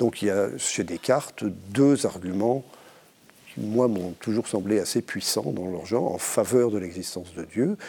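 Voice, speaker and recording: A man with a dark, mellow tone at a fairly slow pace. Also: fairly low pitch for a man, ordinary pitch variation. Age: middle-aged. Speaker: philosophy professor. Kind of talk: panel discussion. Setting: studio.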